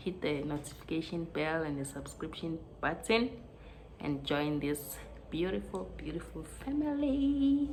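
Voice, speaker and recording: A woman talks at a fairly slow pace over noticeable background noise, with audible room echo. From South Africa. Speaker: vlogger. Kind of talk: casual vlog. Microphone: no microphone, poor sound.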